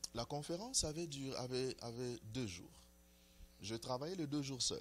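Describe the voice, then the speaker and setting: A man talks at a moderate pace in a medium pitch. His pitch varies in an ordinary way. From DR Congo. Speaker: prophet. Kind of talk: interview. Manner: hesitant, many fillers.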